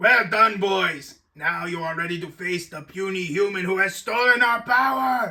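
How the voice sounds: Using a put-on character voice, a man speaks at a moderate pace in a high pitch with a bright, sharp tone, ordinary pitch variation and audible room echo.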